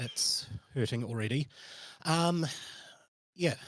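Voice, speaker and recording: Speaking at a very slow pace, a man with a New Zealand accent sounds somewhat breathy and uses ordinary pitch variation. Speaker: tabletop game master. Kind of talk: tabletop roleplaying game session. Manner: halting.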